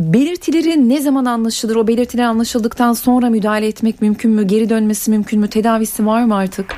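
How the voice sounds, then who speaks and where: Through noticeable background noise, a woman with a fairly high pitch speaks at a very fast pace with hardly any pauses, very even loudness and ordinary pitch variation. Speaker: radio host. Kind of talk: radio call-in show. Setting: studio.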